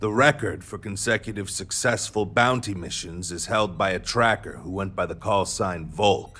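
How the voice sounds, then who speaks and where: A man does a gruff, put-on character voice at a moderate pace. Music plays in the background. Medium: video game. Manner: gruff, brash.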